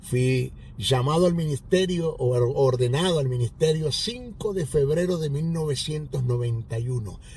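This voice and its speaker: Somewhat breathy and fairly high-pitched, a man speaks at a fairly slow pace with lively intonation amid audible room echo. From Venezuela, Maracaibo (Zulia). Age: 60s. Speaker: pastor and Bible teacher. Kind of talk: sermon; testimony.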